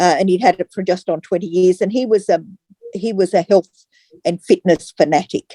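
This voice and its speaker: Recorded with a dry, close sound and no echo, a woman in an Australian accent speaks at a medium pitch, with a dark, mellow tone and fairly even intonation. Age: 70s. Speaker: customer giving testimonial. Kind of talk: testimony. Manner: halting.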